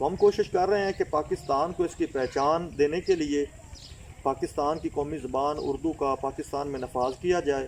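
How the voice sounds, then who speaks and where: With a Punjabi accent, a man speaks in a fairly high voice with fairly even intonation over noticeable background noise. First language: Punjabi (speaking Hindi). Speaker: language activist. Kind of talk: interview answer. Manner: formal.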